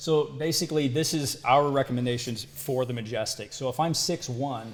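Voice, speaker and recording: With an American accent, a man talks at a moderate pace and medium pitch. His voice is somewhat breathy and his intonation fairly even. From US Midwest, Quad Cities (Iowa/Illinois). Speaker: hammock maker and firefighter. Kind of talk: casual podcast interview.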